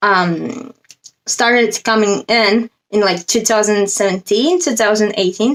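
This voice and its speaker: This woman has a non-native accent. She keeps a moderate tempo. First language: not English. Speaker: spiritual coach. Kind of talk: casual vlog monologue.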